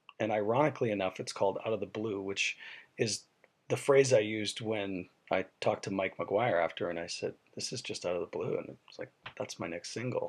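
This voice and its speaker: A man with a Canadian accent speaks at a fairly quick pace with big swings in loudness. His voice is fairly low in pitch, with ordinary pitch variation. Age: 40s. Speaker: country singer. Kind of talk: video message to fans. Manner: halting, many fillers.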